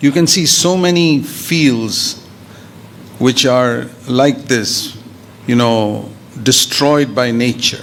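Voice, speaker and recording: A man at medium pitch, very slow and very even in loudness, with ordinary pitch variation, long, frequent pauses, audible room echo and noticeable background noise. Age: 70s. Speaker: preacher. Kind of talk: sermon.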